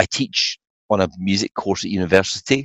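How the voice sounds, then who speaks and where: With a Scottish accent, a man speaks in a very deep, low voice. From Scotland. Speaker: songwriter. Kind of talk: casual interview. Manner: hesitant, frequent fillers.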